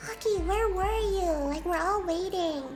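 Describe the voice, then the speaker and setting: A squeaky, put-on character voice at a moderate pace, with clear background noise. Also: woman, extremely high pitch for a woman. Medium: virtual streamer.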